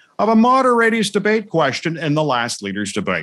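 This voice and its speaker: The pitch of his voice swings very widely. The man speaks at a fairly quick pace. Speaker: show host. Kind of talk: news show opening monologue. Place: studio.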